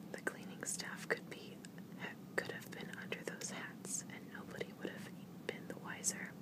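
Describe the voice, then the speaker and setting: Soft-spoken whispering at a moderate pace, dry with no echo, over loud background noise. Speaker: vlogger reading news. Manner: soft whispered reading, ASMR style. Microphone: phone near.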